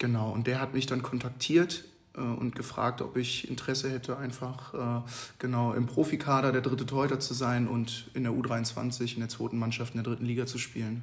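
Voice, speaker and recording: A man of medium pitch speaks in a monotone, flat intonation at a moderate pace, with noticeable background noise behind him. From Hesse, Babenhausen near Aschaffenburg. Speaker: handball goalkeeper. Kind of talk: interview.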